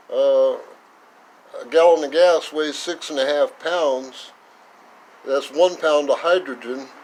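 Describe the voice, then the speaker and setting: A man with an American accent speaks at a very slow pace, his pitch fairly high and his intonation fairly even. Long, frequent pauses break up his speech over noticeable background noise. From northern California. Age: 70s. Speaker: retired mechanic. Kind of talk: tutorial. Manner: casual, halting with fillers.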